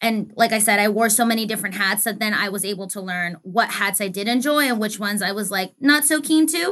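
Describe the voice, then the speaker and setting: Hardly pausing, a woman talks at a fairly quick pace and a medium pitch, with ordinary pitch variation. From Arizona, US. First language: Spanish. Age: 20s. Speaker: sports industry professional. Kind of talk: interview.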